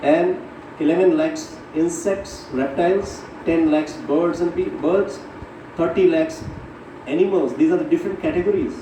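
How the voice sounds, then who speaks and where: With noticeable background noise and audible room echo, a man speaks at a moderate pace in a high pitch with very wide pitch swings. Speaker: spiritual teacher. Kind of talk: religious class lecture.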